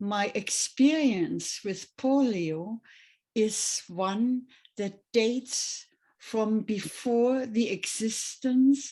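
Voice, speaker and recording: A fairly high-pitched woman's voice in a German accent, somewhat breathy, with a dark, mellow tone, ordinary pitch variation and a very slow pace. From Germany, Berlin. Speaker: retired nurse. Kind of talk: testimony. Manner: halting.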